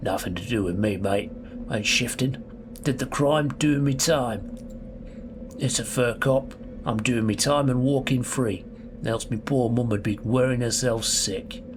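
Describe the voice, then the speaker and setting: Putting on a character voice in a London accent, a man speaks fairly slowly at a medium pitch over loud background noise. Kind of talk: casual slangy.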